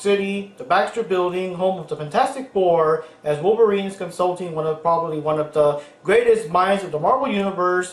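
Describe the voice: Aloud, plain reading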